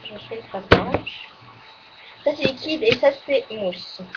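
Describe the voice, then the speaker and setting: Against loud background noise, a woman talks at a fairly slow pace in a high pitch. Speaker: beauty vlogger. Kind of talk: casual monthly favourites video. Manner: halting, full of fillers. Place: home room. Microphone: webcam.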